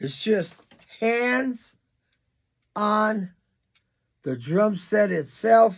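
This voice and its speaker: This man talks in a high-pitched voice. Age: 80s+. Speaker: drummer and drum teacher. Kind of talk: reading aloud. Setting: studio.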